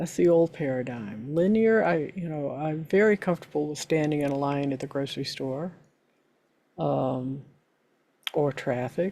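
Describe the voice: A woman speaks at a fairly slow pace in a dark, mellow tone, her low pitch moving with ordinary variation.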